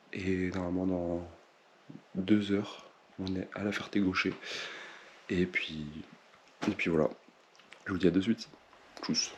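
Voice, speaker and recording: A soft-spoken man talks at a fairly slow pace in a very deep, low voice, with monotone, flat intonation and long, frequent pauses. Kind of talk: vlog. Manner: speaking softly.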